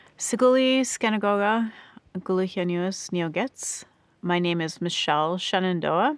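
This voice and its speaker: At a fairly slow pace, a woman of medium pitch speaks in a normal speaking voice with ordinary pitch variation. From Oneida Nation, upstate New York. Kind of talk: interview.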